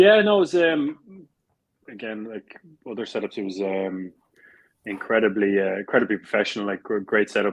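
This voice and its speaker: A man with a South Dublin accent, at a moderate pace and with fairly even intonation. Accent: South Dublin accent, teased by teammates. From Ireland, South Dublin. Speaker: Gaelic football player. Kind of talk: interview. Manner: hesitant, many fillers and repeats.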